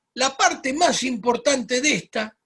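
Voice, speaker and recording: A man is speaking. His pace is very slow. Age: 60s. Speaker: medical doctor giving health webinar. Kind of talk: webinar lecture. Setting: online webinar.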